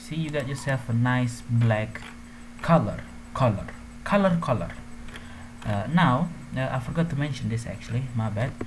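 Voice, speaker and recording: A non-native accent at a moderate pace, with noticeable background noise. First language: not English. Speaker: gaming tutorial youtuber. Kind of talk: tutorial. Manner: casual, hesitant with fillers.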